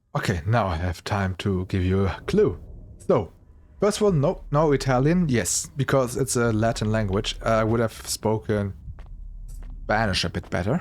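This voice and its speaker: Here a man with a German accent speaks at a medium pitch and moderate pace. His intonation is lively. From Germany. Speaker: video game streamer. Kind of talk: let's play commentary. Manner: halting.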